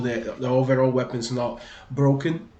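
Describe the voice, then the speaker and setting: A man with a strong Brazilian accent talks at a medium pitch and a moderate pace, with audible room echo around him. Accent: thick Brazilian. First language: Portuguese. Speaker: gaming video creator. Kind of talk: gaming tutorial. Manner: hesitant, many fillers and repeats.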